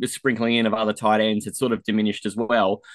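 A man's medium-pitched voice with an Australian accent. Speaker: fantasy football podcaster. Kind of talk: casual sports chat. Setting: studio.

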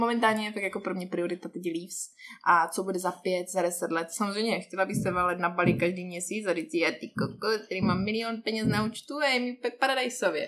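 Noticeable background noise behind a woman, medium pitch, ordinary pitch variation, fairly quick pace. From Czech Republic, Zlín region. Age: 20s. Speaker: hookah lounge owner. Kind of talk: casual chat. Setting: hookah lounge in a shopping centre.

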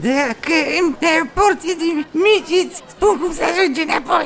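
A put-on character voice at an extremely high pitch comes through over clear background noise.

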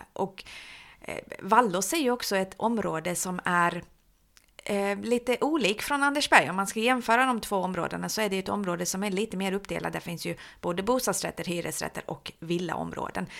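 A woman's normal speaking voice at a medium pitch and moderate pace, with ordinary pitch variation, in a very clean recording with a silent background. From Halmstad, Sweden (born in Iran). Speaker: social services developer. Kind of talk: interview. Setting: office.

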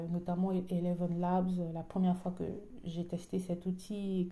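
The voice moves at a fairly slow pace, its tone dark and mellow and somewhat breathy. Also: woman. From French-speaking country. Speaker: podcaster. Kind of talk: casual spoken reflection. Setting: at home, dining room. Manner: soft-spoken; hesitant.

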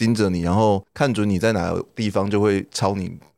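The man's fairly low voice is captured on a very clean recording with a silent background. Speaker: host's older brother, guest. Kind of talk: casual chat.

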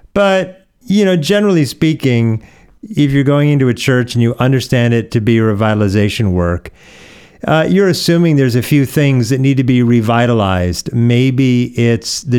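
With an American accent, a man speaks in an ordinary speaking voice at medium pitch, moving at a moderate pace with lively intonation. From US Pacific Northwest (Oregon). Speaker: pastor. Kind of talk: podcast interview.

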